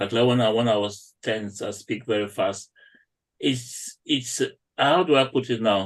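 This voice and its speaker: In a non-native accent, a man speaks at a fairly slow pace with a medium pitch and ordinary pitch variation over a quiet background. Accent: non-native accent, noticeable to UK patients. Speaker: doctor. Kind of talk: panel discussion.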